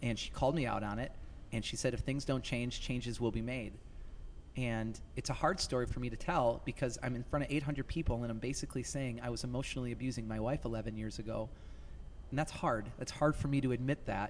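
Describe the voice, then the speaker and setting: A man talks at a fairly quick pace, and there is audible echo in the room. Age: 30s. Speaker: youth motivational speaker. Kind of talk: casual interview. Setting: live at a conference venue.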